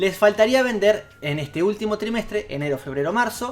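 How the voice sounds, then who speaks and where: A man speaking at a fairly quick clip with lively intonation, music playing in the background. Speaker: video game YouTuber. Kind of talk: casual video commentary. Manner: hesitant, with fillers and repeats.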